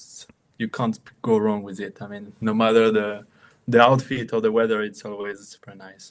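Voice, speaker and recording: A man with a French accent, fairly low in pitch, monotone and flat in intonation, with big swings in loudness. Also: moderate pace. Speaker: watchmaker and brand founder. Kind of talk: casual interview.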